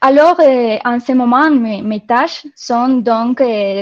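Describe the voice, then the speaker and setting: In a dry, close sound with no echo, a woman speaks at a high pitch. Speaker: marketing software country manager. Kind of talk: webinar presentation. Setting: online webinar.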